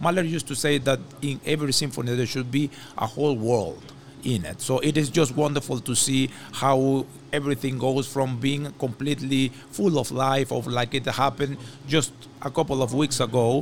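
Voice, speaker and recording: Here a man talks at a medium pitch and a moderate pace. His intonation stays fairly even. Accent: Spanish. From Venezuela. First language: Spanish. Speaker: orchestra conductor. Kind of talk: interview. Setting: on location in a hotel.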